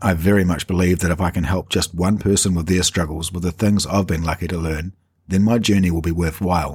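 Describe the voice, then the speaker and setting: A man with a New Zealand accent talks at a fairly quick pace in a very deep, low, somewhat breathy voice with monotone, flat intonation. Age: 40s. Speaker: podcaster sharing personal chronic pain story. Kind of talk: personal narration.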